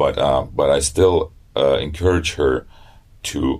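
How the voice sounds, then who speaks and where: With vocal fry, a man talks in a fairly even intonation. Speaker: a cappella bass singer and beatboxer. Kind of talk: interview answer. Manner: hesitant, many fillers and repeats.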